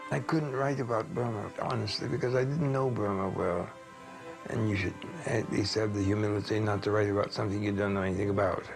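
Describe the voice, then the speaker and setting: A man's fairly low voice at a very fast pace, very even in loudness with ordinary pitch variation, over music in the background. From United States. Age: 80s+. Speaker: political scholar. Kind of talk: interview answer. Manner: soft-spoken, quiet.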